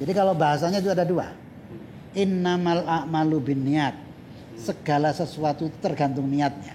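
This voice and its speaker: A man speaks at a moderate pace with a fairly high pitch and ordinary pitch variation. His loudness stays very even over noticeable background noise. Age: 60s. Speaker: Islamic cleric and motivational speaker. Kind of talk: casual interview chat.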